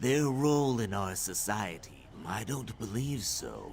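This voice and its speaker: Using a put-on character voice, a man speaks at a fairly slow pace against clear background noise. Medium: video game. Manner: hesitant, stammering.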